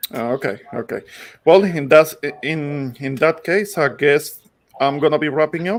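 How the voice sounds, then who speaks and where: In a Puerto Rican accent, a man talks with a fairly high pitch. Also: ordinary pitch variation, moderate pace. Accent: Puerto Rican accent, recognizable. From Puerto Rico. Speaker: online show host. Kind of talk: casual panel chat. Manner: halting, many fillers.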